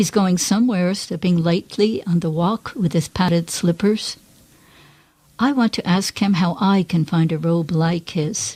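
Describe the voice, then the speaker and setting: A woman's fairly low, somewhat breathy voice, dark and mellow in tone, fairly slow and very even in loudness, with ordinary pitch variation. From Poughkeepsie, New York. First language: Greek. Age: 70s. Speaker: poet. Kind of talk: poetry reading.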